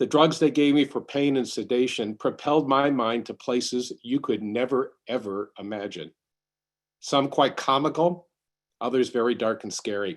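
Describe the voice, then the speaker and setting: At medium pitch with ordinary pitch variation, a man talks in a normal speaking voice at a moderate pace against a quiet background. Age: 60s. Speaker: congregant sharing covid survival story. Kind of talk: testimony.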